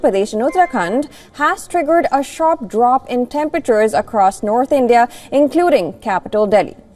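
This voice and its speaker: Amid noticeable background noise, a woman with a high voice talks at a fairly quick pace with lively intonation. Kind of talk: TV news weather bulletin.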